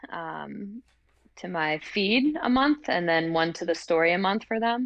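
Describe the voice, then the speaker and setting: A woman with an American accent speaks at a medium pitch, her intonation lively. She has a plain, everyday voice. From North Carolina (Hickory). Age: 30s. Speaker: CrossFit athlete and university lecturer. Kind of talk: casual interview. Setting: recording studio.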